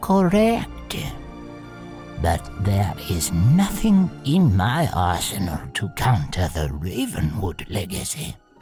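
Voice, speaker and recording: Clear music plays in the background of a put-on character voice. The voice is low-pitched and moves at a very slow pace. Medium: audio drama. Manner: dry, formal, precise.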